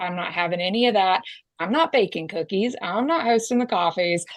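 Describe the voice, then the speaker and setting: In a plain, everyday voice, a woman with a medium pitch talks at a fairly quick pace against a quiet background. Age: 40s. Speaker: military spouse. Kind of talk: roundtable discussion.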